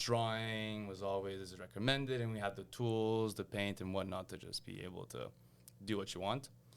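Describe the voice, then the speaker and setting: A man's fairly low voice in a Quebec accent, with ordinary pitch variation and a moderate pace. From Quebec, Montreal. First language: French. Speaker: engineer and lamp designer. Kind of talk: interview conversation. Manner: casual with fillers and repetitions.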